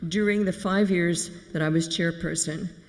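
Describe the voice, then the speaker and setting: Delivery here comes at a moderate pace. It carries an American accent. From United States. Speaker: community volunteer leader. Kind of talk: eulogy. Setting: memorial service.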